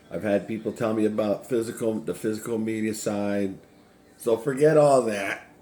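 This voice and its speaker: A man with an American accent talks at a moderate pace in a fairly low, dark and mellow voice with fairly even intonation. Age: 50s. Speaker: retro gaming YouTuber. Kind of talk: casual vlog monologue. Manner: hesitant, many fillers.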